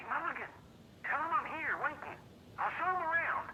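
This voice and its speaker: A woman puts on a character voice at an extremely high pitch with fairly even intonation. Background noise is clearly audible. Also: fairly quick pace. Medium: video game. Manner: loud, blunt.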